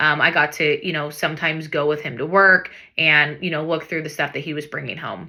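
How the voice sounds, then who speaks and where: With an American accent, a woman speaks in a bright, sharp tone and monotone, flat intonation. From US Pacific Northwest, Everett, Washington. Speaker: real estate broker. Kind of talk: personal story to camera. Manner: casual, with frequent fillers.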